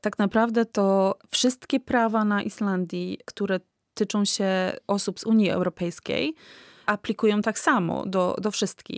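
A woman with an ordinary speaking voice and medium pitch talks at a fairly slow pace with fairly even intonation and very even loudness, in a very clean, dry, close recording with a silent background and no echo. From Poland. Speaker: immigrant rights activist. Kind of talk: interview.

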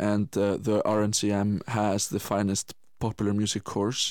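A fairly low-pitched man with an Icelandic accent, on a very clean recording with a silent background. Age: 20s. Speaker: musician and Paralympic swimmer. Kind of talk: radio interview.

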